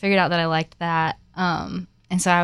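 In a very clean recording with a silent background, a woman talks very fast at a medium pitch. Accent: American. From Florida, US. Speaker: coffee shop Instagrammer. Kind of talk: casual interview chat.

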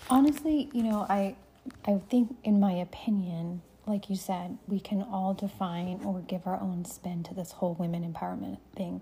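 A woman's dark, mellow, somewhat breathy voice moves at a moderate pace with ordinary pitch variation. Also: medium pitch for a woman. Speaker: military veteran and podcast host. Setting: home, late at night.

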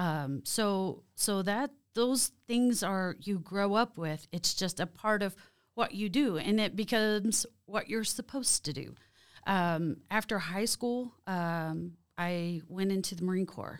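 A woman speaks at a fairly slow pace with an American accent, her pitch medium and its variation ordinary. The recording is very clean, with a silent background. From Oklahoma, Creek Nation. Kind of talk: interview.

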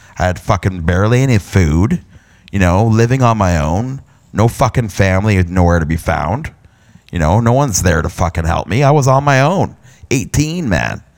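Lively intonation colors this man's fairly low-pitched voice, delivered at a moderate pace with an Ontario accent. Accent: Canadian (Ontario). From Canada, London, Ontario. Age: 30s. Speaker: podcast host, hobby photographer. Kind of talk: personal monologue, life story. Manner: casual, halting with fillers.

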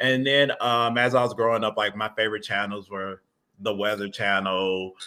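A man talks in an ordinary speaking voice at a medium pitch. His intonation stays fairly even. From US South, Atlanta, Georgia. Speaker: geology professor. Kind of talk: casual interview. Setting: video call from home.

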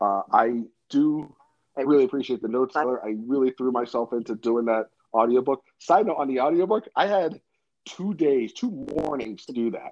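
This is a normal speaking voice with an American accent. The intonation is lively. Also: man, medium pitch for a man, moderate pace. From New York, New Jersey and California Bay Area. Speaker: pizzeria owner. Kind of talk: podcast interview.

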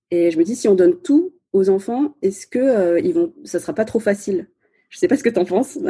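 A woman talks at a fairly quick pace in a fairly high, somewhat breathy voice that swings very widely in pitch. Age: 30s. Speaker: podcaster and former lawyer. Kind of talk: casual interview. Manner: hesitant, many fillers.

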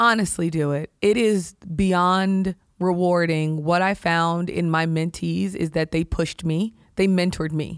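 At a fairly slow pace, a woman with an unremarkable speaking voice talks at a fairly low pitch with fairly even intonation. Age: 40s. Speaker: healthcare executive. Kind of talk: interview.

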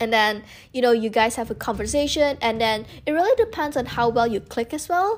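A woman's voice with music in the background. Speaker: student and content creator. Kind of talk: casual chat. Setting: podcast interview.

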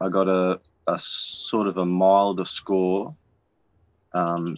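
A man speaks at a very deep, low pitch. His intonation is monotone and flat. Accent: Australian. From Australia. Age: 20s. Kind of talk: casual chat.

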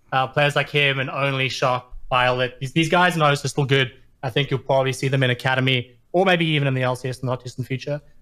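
Talking at a very fast pace, a man with an Australian accent has a bright, sharp tone and fairly even intonation. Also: medium pitch for a man. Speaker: caller. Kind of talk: casual chat. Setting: online call.

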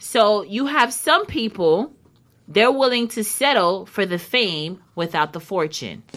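A woman speaks in an animated tone at a fairly slow pace, her pitch swinging very widely. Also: medium pitch for a woman. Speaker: radio host. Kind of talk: casual chat. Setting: studio.

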